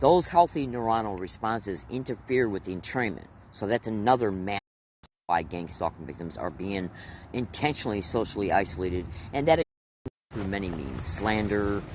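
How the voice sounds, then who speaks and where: This man has a fairly low pitch and lively intonation. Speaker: video blogger. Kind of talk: monologue vlog. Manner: fast.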